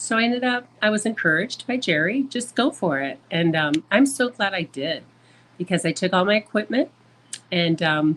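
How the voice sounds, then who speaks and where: A woman with an Upper Midwest accent speaks at a medium pitch and a moderate pace. Her pitch swings very widely. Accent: Upper Midwest American. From US Midwest, Michigan. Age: 60s. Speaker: traveler and photographer. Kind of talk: podcast interview.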